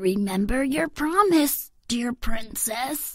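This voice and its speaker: Putting on a croaky character voice, a woman speaks at a high pitch and a fairly slow pace. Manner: reminding, insistent.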